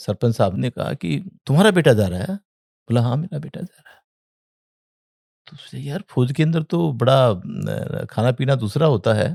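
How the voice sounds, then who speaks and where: A man at a medium pitch, with very wide pitch swings and big swings in loudness, in a dry, close sound with no echo. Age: 60s. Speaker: entrepreneur and former air force serviceman. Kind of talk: interview storytelling. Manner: halting.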